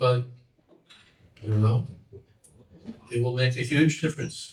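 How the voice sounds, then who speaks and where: In a room with audible echo, a man with an American accent speaks fairly slowly at a medium pitch, his voice somewhat breathy. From United States. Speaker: monk and teacher. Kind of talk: lecture.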